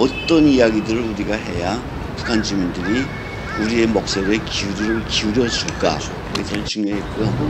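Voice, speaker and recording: A man speaks at a moderate pace in a fairly low pitch with ordinary pitch variation. Audible room echo and noticeable background noise surround him. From North Korea. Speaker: defector radio broadcaster. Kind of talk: interview.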